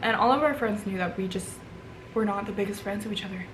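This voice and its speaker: With an American accent and a medium pitch, a woman is heard through audible room echo and noticeable background noise. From Vermont, US. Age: 20s. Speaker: beauty vlogger. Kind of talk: casual chat. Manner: casual with many fillers.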